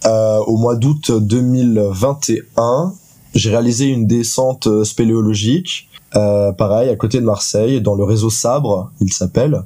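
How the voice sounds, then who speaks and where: A man talks at a very slow pace. His loudness stays very even. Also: medium pitch for a man, ordinary pitch variation. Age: 20s. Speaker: student and sound performer. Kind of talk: interview. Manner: hesitant, many fillers.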